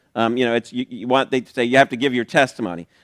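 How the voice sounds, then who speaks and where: A man's voice on a very clean recording, silent behind him, dry and close with no echo. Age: 60s. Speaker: pastor. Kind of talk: sermon. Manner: casual, conversational with fillers.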